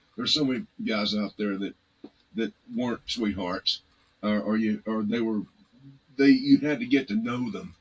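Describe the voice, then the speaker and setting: With a Texan accent, a man talks at a moderate pace and medium pitch, with ordinary pitch variation. His speech has long, frequent pauses. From Texas, Arlington / Fort Worth area. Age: 60s. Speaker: blues musician. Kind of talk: casual interview chat. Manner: halting, many fillers and restarts.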